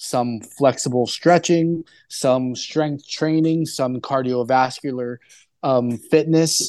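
An unremarkable speaking voice from a man, fairly high in pitch, with fairly even intonation and a quiet background. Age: 30s. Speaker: rehabilitation doctor. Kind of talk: interview.

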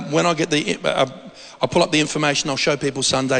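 Noticeable background noise runs behind this man. His voice is fairly high and his pace moderate. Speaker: preacher. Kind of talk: sermon. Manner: informal, storytelling.

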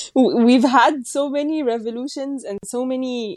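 A woman's high-pitched voice with an Egyptian accent, a dark, mellow tone, a fairly slow pace, and a dry, close sound with no echo. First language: Arabic. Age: 20s. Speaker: gender rights researcher. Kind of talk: casual discussion.

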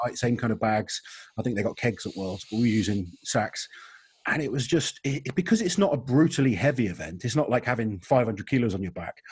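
Somewhat breathy and at a medium pitch, a man talks at a fairly quick pace with lively intonation. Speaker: podcast host. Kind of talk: casual chat.

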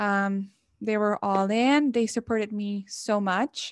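A woman's medium-pitched voice in a Mexican accent, very slow and fairly even in intonation, dry and close with no echo, on a very clean recording with a silent background. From Mexico. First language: Spanish. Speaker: college student, student association member. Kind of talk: interview conversation. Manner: hesitant, with frequent repetitions.

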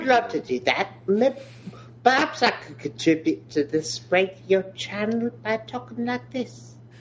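A female-sounding put-on character voice in a British accent, medium in pitch, swings very widely in pitch at a fairly slow pace against clear background noise. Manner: playful mock voice.

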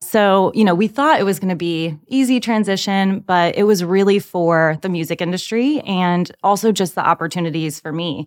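With an American accent, a woman has a plain, everyday voice at medium pitch, speaking at a moderate pace with ordinary pitch variation and hardly any pauses. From Virginia, US South. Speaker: translation project manager. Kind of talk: casual chat.

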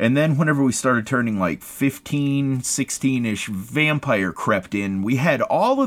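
With an American accent and an unremarkable speaking voice, a man of medium pitch talks at a fairly slow pace with lively intonation. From US, West Virginia. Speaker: podcast co-host. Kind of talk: casual chat.

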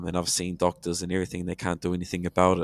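A man speaks with a very deep, low pitch. The recording is very clean, with a silent background and a dry, close sound with no echo. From New Zealand, Hamilton. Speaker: returned missionary and language teacher. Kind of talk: casual chat.

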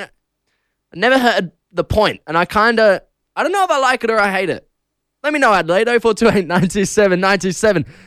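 The dry, close sound with no echo carries a man's high pitch, lively intonation and fairly slow pace. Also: very clean recording, silent background. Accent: Australian. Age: 20s. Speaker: radio host. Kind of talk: casual breakfast radio DJ patter, solo host chatting with listeners. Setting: radio studio. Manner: loose, giggly and self-deprecating, frequent laughs and filler ums; chatty, rambling with restarts and stumbles.

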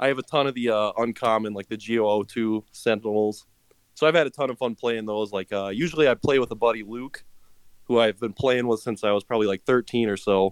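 An unremarkable speaking voice moves at a fairly quick pace with fairly even intonation, the sound dry and close with no echo over a quiet background. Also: man, medium pitch for a man. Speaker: listener guest. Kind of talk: casual interview chat.

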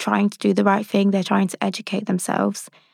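With fairly even intonation and medium pitch, a woman speaks in an unremarkable speaking voice, the sound dry and close with no echo. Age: 20s. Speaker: neurodiversity advisor. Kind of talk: interview.

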